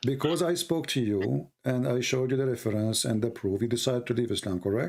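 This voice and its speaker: A man with an Arabic accent, medium in pitch, with lively intonation, very even loudness and a very fast pace. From Yemen. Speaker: religious debate streamer. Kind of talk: call-in debate. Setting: Skype call.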